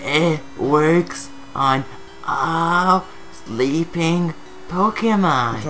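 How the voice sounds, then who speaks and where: Over clear background music, a man does a put-on character voice at a fairly high pitch, moving at a very slow pace with long, frequent pauses. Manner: acting old voice.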